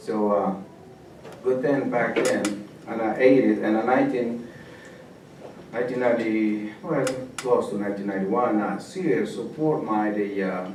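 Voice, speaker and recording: A man speaks at a moderate pace and medium pitch, with ordinary pitch variation and long, frequent pauses. Noticeable background noise and audible room echo fill the recording. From El Salvador, rural village. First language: Spanish. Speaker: refugee guest speaker. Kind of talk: personal testimony to a class. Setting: classroom. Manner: halting.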